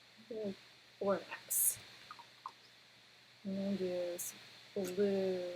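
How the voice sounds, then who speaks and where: A woman speaks quietly and very slowly in a flat monotone, with long, frequent pauses. Audible room echo and noticeable background noise surround her voice. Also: medium pitch for a woman. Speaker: art teacher. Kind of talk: tutorial.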